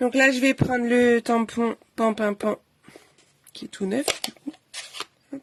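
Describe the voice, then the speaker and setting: A woman's high voice at a very slow pace, monotone and flat, with long, frequent pauses, big swings in loudness, and a dry, close sound with no echo. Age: 30s. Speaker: craft demonstrator. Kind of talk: live craft tutorial. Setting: livestream. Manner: casual, chatty.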